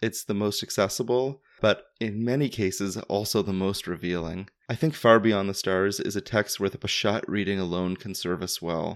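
An unremarkable speaking voice, a man's fairly low one with a Canadian accent, moves at a moderate pace with hardly any pauses and ordinary pitch variation. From Canada. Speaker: podcast host. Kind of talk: scripted narration.

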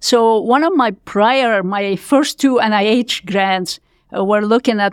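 A woman speaks at a fairly slow pace with ordinary pitch variation on a very clean recording with a silent background. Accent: Lebanese. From Lebanon. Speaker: physician scientist. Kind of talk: interview.

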